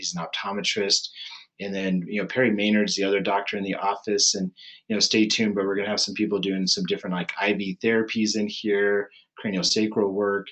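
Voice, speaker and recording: A man talks at a fairly quick pace with a fairly low pitch. His intonation stays monotone and flat. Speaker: chiropractic neurologist. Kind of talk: webinar presentation. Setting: online webinar. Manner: fast; casual, filler-heavy.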